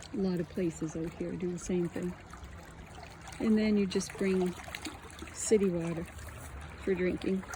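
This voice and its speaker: Long, frequent pauses in a relaxed tone at a moderate pace, with noticeable background noise. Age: 60s. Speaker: vlogger. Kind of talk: casual walking vlog. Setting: outdoors. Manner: relaxed, meandering.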